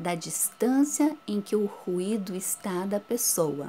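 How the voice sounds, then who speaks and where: A woman's voice at medium pitch has a dark, mellow tone. She speaks very slowly with lively intonation. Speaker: schoolteacher. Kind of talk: recorded lesson for children. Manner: whispers briefly as a demonstration.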